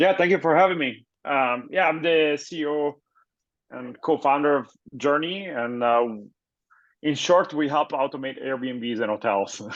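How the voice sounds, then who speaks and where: A man with an Italian accent speaks at a fairly slow pace, his pitch fairly high with ordinary variation. The background is quiet. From Italy. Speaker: tech startup founder and CEO. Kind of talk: interview.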